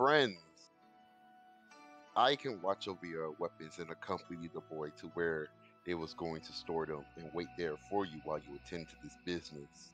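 A man puts on a gruff character voice with a very deep, low pitch at a moderate pace. Clear music plays in the background. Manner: gruff, dismissive.

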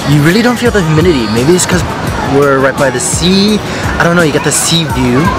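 A man speaks over clear music in the background, the sound dry with no echo. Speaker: travel vlogger. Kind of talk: casual vlog chat. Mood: relaxed, delighted.

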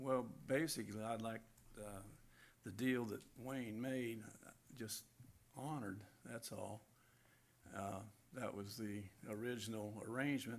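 A man talks at a fairly slow pace with long, frequent pauses and fairly even intonation. Audible room echo surrounds his voice. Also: medium pitch for a man. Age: 70s. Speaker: property owner speaking at public hearing. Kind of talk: public comment at council hearing. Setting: city council meeting. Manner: halting, many fillers.

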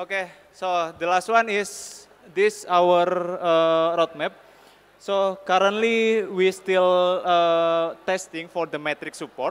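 At a very slow pace, a man with an Indonesian accent speaks at a high pitch with fairly even intonation. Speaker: software team lead; conference speaker. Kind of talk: conference talk. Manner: halting, many fillers. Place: hall. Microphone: podium.

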